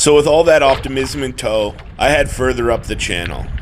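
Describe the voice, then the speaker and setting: There is noticeable background noise behind a man's medium-pitched voice. He speaks at a moderate pace with ordinary pitch variation. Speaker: canoeist, outdoor vlogger. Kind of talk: documentary voice-over narration.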